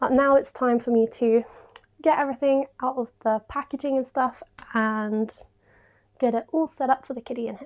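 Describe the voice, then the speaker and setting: A woman with a British accent speaks at a high pitch and a moderate pace, with long, frequent pauses. Her intonation stays fairly even, while her loudness swings widely. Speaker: home renovation vlogger. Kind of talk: casual vlog chat.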